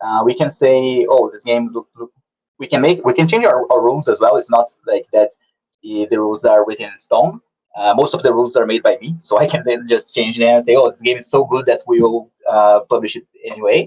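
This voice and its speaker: With a non-native accent, a man speaks at a fairly quick pace. His loudness swings widely, and the sound is dry and close with no echo. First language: not English. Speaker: game publisher. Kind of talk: online talk with Q&A. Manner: halting, many fillers and repeats.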